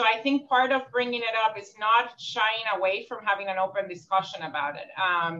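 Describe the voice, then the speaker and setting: With a Puerto Rican accent, a woman talks in a fairly high pitch with ordinary pitch variation, big swings in loudness and hardly any pauses. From Puerto Rico. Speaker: social work professor. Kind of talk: panel conversation. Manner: fast.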